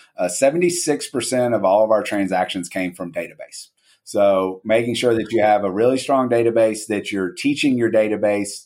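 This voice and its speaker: A man with a medium pitch talks in a normal speaking voice at a fairly quick pace, with ordinary pitch variation. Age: 40s. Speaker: real estate brokerage CEO. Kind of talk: interview.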